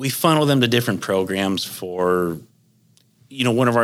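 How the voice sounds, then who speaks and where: A man speaks with a Midwestern US accent. His pace is moderate, and his pitch variation is ordinary. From northwestern Ohio. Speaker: hog farmer. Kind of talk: interview. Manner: halting, many fillers.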